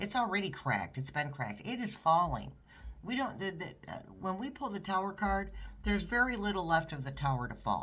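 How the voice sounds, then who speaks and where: The delivery is fairly quick. It comes in an American accent. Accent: New York accent, occasionally showing. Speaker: tarot reader. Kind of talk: tarot reading monologue. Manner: halting, with frequent restarts.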